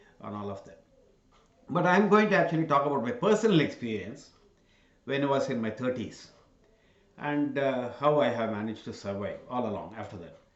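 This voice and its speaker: Lively intonation rings out against audible room echo. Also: man. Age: 60s. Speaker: channel host giving talks. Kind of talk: solo talk to camera. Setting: in front of cameras. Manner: halting, many fillers.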